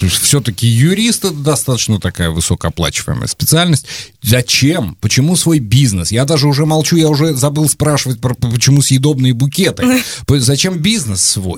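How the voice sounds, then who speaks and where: At a moderate pace, a man with a medium pitch and a somewhat breathy voice makes very wide pitch swings. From Volgograd region, Russia. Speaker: podcast host. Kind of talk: interview.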